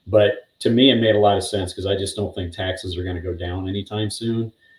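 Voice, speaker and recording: A man speaks at a fairly quick pace in a somewhat breathy, monotone voice with flat intonation. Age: 60s. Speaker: retiree-age interview guest. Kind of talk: interview.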